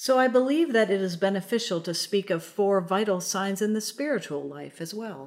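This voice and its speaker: A woman talks in a normal speaking voice at medium pitch and a moderate pace. Her intonation is lively, and the recording is very clean with a silent background. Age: 50s. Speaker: priest and podcast host. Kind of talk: scripted spiritual reflection.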